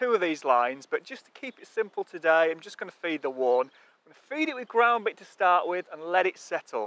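A man's raised, projected voice comes through bright and sharp at a fairly quick pace, with a dry sound and no echo. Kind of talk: tutorial. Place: waterside.

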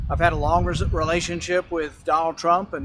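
A man speaks at a moderate pace. The sound is dry with no echo, though background noise is noticeable. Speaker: politician making a statement. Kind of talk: prepared public statement. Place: open country.

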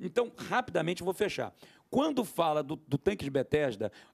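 Over a quiet background, a man talks at a fairly quick pace. His pitch swings very widely. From Brazil. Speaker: pastor and theologian; pastor. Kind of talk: panel discussion; panel discussion answer. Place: studio. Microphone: handheld.

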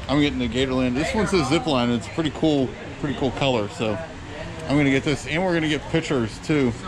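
A man at a fairly quick pace with ordinary pitch variation and noticeable background noise. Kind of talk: casual vlog chat. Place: shop. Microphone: phone near.

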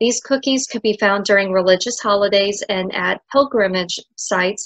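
A woman talks at a moderate pace with ordinary pitch variation. The sound is dry with no echo, and the background is quiet. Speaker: presenter. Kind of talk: lecture. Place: home room. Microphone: webcam.

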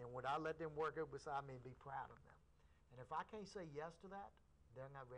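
This is a man talking. His voice sits at a fairly high pitch. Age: 50s. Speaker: karate instructor. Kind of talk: interview on local cable access show. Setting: TV studio. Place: studio.

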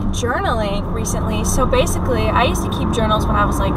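A woman's fairly quick speech competes with loud background noise. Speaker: vlogger. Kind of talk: casual vlog chat. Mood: upbeat, a bit stressed. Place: car. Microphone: phone near.

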